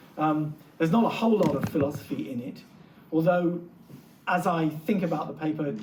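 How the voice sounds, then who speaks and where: Amid noticeable background noise and audible room echo, a man with a North London accent speaks at a fairly quick pace in a fairly high pitch, with long, frequent pauses. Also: ordinary pitch variation. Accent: North London English, retained. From England, North London. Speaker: literature professor. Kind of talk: lecture. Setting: lecture hall with audience.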